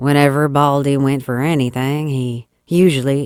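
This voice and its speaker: In a Texas accent, a woman talks at a fairly slow pace with a very deep, low pitch. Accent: put-on Texas accent for dialogue. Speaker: audiobook narrator. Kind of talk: classic short story reading.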